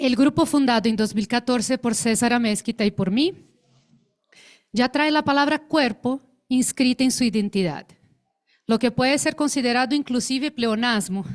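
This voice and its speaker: In a dry, close recording with no echo, a woman with a Brazilian accent speaks at a high pitch and a moderate pace, with ordinary pitch variation, very even loudness, and long, frequent pauses. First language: Portuguese (speaking Spanish). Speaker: actress and theatre researcher. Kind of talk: conference talk. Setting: conference panel with audience. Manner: formal.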